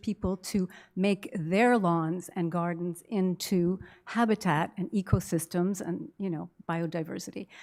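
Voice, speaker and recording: In a very clean recording with a silent background, a woman speaks at medium pitch with a dark, mellow tone and ordinary pitch variation. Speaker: citizen speaking at council question period. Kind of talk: public question period comment. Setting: council meeting with microphone.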